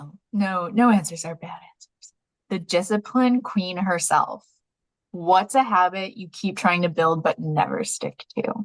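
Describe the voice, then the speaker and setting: At a fairly slow pace, a woman speaks at a medium pitch, somewhat breathy, with ordinary pitch variation and big swings in loudness. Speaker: podcast host. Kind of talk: casual podcast conversation.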